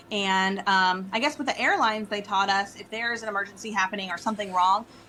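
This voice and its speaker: Against noticeable background noise, a woman with an American accent speaks at a medium pitch. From US, local to the show's area. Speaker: event planner and home stager. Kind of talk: podcast interview.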